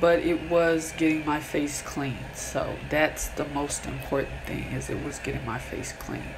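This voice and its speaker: There is music in the background. The woman talks at a fairly slow pace. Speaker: skincare vlogger. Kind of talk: casual vlog chat. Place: bathroom. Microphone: phone near.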